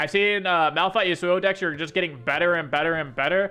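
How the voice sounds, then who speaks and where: A man's high-pitched voice at a fairly quick pace. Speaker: gaming content creator and coach. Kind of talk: patch notes review commentary. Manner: fast; casual with filler words.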